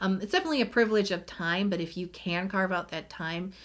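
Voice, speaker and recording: Heard on a very clean recording with a silent background, a woman with an ordinary speaking voice talks at a moderate pace and medium pitch, with ordinary pitch variation. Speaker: beauty YouTuber. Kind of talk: casual vlog talk to camera.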